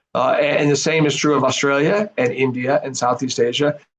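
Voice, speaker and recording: Someone with an Arizona accent talks at a fairly quick pace. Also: man. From US, Arizona. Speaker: professor, think tank head. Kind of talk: interview answers. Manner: halting, many fillers and repeats.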